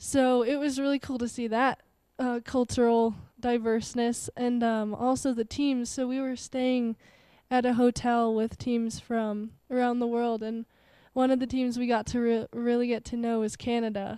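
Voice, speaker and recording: In a Colorado accent, the voice has a dark, mellow tone and monotone, flat intonation. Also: woman, high pitch for a woman, moderate pace. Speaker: Nordic skier. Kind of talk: casual chat.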